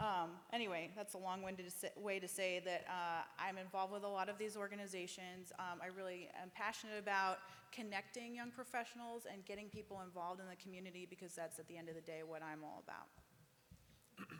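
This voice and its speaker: With a normal speaking voice, a woman talks at a fairly quick pace with hardly any pauses. Her pitch is medium and her intonation fairly even. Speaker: economic development communications director. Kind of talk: panel discussion.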